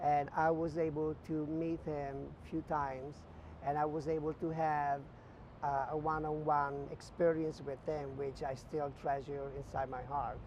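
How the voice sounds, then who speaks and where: Speaking at a moderate pace, a man with an Italian accent uses a fairly high pitch and monotone, flat intonation. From northern Italy, near Venice. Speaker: visual merchandising director. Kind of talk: interview, personal career story. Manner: hesitant, many fillers.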